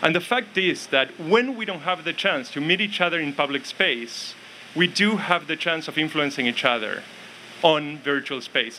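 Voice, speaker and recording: Noticeable background noise sits behind a man with a fairly high pitch. He talks at a moderate pace with lively intonation. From Argentina. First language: Spanish. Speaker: academic speaker on ethics and politics. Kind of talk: public speech.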